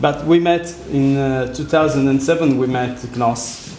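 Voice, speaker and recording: Someone speaks with an Italian accent at a fairly slow pace and with fairly even intonation. Noticeable background noise and audible room echo fill the recording. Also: man. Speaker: architect. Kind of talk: lecture. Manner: halting.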